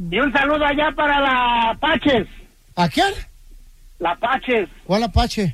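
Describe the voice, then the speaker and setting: Extremely high-pitched for a man, with a bright, sharp tone, he speaks very slowly with long, frequent pauses, very even loudness and lively intonation. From Oaxaca, Mexico. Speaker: radio caller. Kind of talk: call-in chat.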